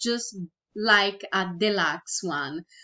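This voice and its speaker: A woman speaks very slowly with a Brazilian Portuguese accent, her pitch swinging very widely. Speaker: virtual product creator. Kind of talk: tutorial. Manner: halting.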